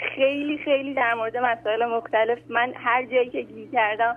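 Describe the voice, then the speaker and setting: Ordinary pitch variation comes with a fairly quick pace in this voice. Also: woman. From Iran, Tehran. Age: 20s. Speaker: caller. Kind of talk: phone-in question. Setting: phone call.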